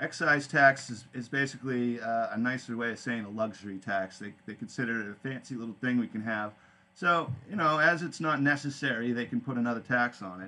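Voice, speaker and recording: With a slight New England accent, a man talks at medium pitch and ordinary pitch variation. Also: fairly quick pace, hardly any pauses. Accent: subtle New England. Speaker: podcast host. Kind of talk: casual live podcast talk. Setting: live online radio stream. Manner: casual, halting with fillers.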